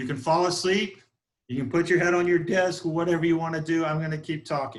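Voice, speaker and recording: This man's voice sits fairly high in pitch. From US South, South Georgia. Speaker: real estate broker and instructor. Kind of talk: online training class. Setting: video call from office conference room. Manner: fast.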